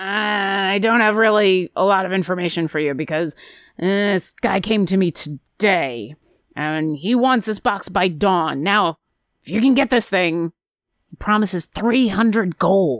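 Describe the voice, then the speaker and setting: A woman uses a raspy, put-on character voice at medium pitch and a moderate pace. The recording is very clean, with a silent background. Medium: actual play. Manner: brisk, businesslike, a bit impatient.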